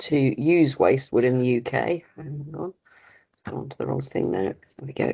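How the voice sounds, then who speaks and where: A woman speaks with vocal fry at a very deep, low pitch. Her pace is moderate and her pitch varies in an ordinary way. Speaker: industry representative. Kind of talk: webinar presentation. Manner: hesitant, many fillers.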